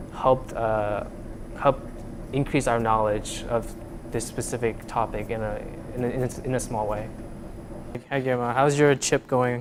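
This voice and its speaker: With a medium-pitched voice, a man speaks at a moderate pace in a monotone, flat way. Long, frequent pauses break his speech over noticeable background noise. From Vietnam. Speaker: undergraduate student researcher. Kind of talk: interview. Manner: halting, many fillers.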